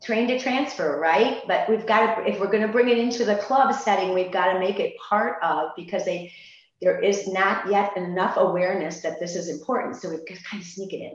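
A woman with an unremarkable speaking voice talks at a fairly quick pace and medium pitch, with ordinary pitch variation and big swings in loudness. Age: 60s. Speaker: fitness franchise owner. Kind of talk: webinar panel discussion. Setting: video call.

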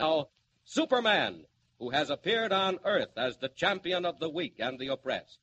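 In a dramatic tone, a man with a high pitch speaks at a moderate pace with lively intonation. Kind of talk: 1940 radio serial announcer narration. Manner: dramatic, formal, suspenseful announcer delivery.

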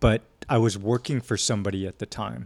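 An ordinary speaking voice, a man's at a fairly low pitch, unfolds at a fairly slow pace on a very clean recording with a silent background. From San Diego, California, US. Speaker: actor. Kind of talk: casual interview.

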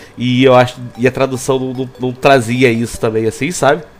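His voice holds a medium pitch, with music playing in the background. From Búzios, Rio de Janeiro state, Brazil. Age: 20s. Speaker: podcast host. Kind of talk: casual chat. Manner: hesitant, rambling delivery with fillers and laughs.

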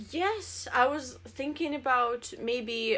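With a Russian accent, a woman speaks in a bright, sharp tone. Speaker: podcast co-host. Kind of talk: casual chat. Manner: halting.

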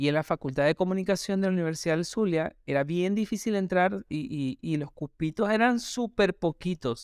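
A high-pitched man at a moderate pace with hardly any pauses and ordinary pitch variation, in a very clean recording with a silent background and a dry, close sound with no echo. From Venezuela, Maracaibo. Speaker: podcaster. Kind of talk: personal monologue. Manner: hesitant, with fillers.

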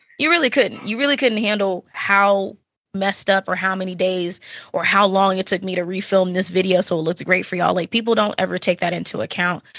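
Against a quiet background, a woman with an American accent uses a normal speaking voice at a medium pitch and a fairly quick pace, with ordinary pitch variation. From Texas, Dallas-Fort Worth area. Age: 30s. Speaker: podcaster and streamer. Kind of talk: casual interview chat.

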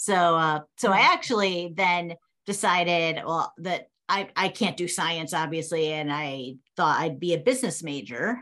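A woman with an American accent speaks at a fairly low pitch with a bright, sharp tone. Her pace is fairly slow, her pitch variation ordinary, and the background quiet. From New England (Massachusetts, Connecticut). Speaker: professor. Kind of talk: interview.

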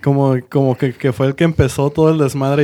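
A man with a plain, everyday voice, fairly high pitch and a fairly quick pace. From Monterrey, Nuevo León, Mexico. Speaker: podcast co-host. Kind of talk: casual chat.

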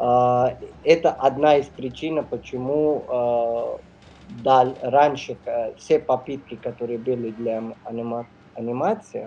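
With music in the background, a man talks in a medium pitch and fairly even intonation. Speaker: neurosurgeon and film distributor. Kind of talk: radio interview. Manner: halting, many fillers.

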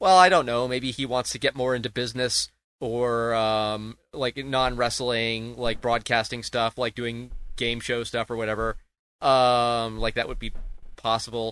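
In a quiet background, a man with a medium-pitched voice speaks fairly slowly in a flat monotone. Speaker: podcast host. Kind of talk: casual chat. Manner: halting, stammering.

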